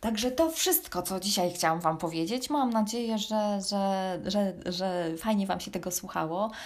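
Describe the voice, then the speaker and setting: The delivery is in a normal speaking voice with hardly any pauses. Pace is moderate and pitch variation ordinary. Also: woman, medium pitch for a woman. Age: 40s. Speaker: running podcaster and blogger. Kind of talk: solo personal storytelling podcast.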